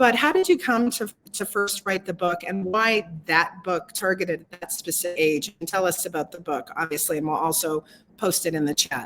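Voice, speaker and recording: A normal speaking voice with ordinary pitch variation, keeping a moderate pace. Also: woman. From Canada. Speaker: interview host. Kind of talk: interview. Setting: live video stream.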